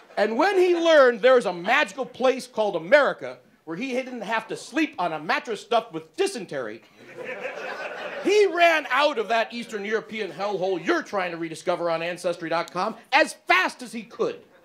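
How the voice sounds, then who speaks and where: Against noticeable background noise, a man's high-pitched voice swings very widely in pitch. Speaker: stand-up comedian. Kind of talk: stand-up. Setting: stage with audience. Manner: fast.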